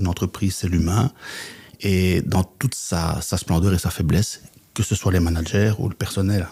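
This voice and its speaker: In a very clean recording with a silent background, a man speaks with a Belgian accent. His very deep, low voice has a dark, mellow tone, a somewhat breathy quality and fairly even intonation. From Belgium, Flemish Brabant. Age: 60s. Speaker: business coach and trainer. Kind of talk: podcast interview.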